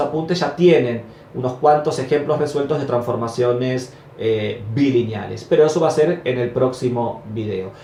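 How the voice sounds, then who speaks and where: Amid noticeable background noise and audible room echo, a man is speaking. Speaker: math professor. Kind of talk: lecture. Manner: stumbles over words at times.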